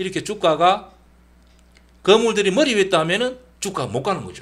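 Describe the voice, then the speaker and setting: Lively intonation meets big swings in loudness and long, frequent pauses in this speaker's delivery. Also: man. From Gyeongsang region, Korea. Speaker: stock trading educator. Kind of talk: tutorial. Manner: casual, with many fillers.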